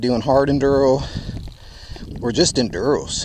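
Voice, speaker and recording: A speaker with an American accent talks at a moderate pace. Background noise is noticeable throughout. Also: man. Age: 60s. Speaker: motorcycle dealer. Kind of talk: casual product review.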